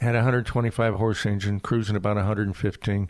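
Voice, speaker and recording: Here a man with an American accent talks at a very fast pace. His pitch is fairly low and his intonation fairly even. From US South (Florida panhandle). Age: 70s. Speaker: retired air force general and pilot. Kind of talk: interview. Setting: at his home.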